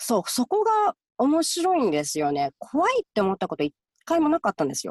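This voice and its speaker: Recorded with a dry, close sound and no echo, a woman speaks at a fairly quick pace. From Japan, Gifu. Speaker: clinical counselor. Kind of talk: interview.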